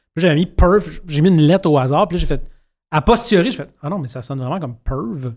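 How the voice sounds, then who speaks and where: In a very clean recording with a silent background, a man with a Quebec accent talks at a very fast pace. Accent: Québécois French. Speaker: podcast host, sketch comedy writer. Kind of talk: casual chat.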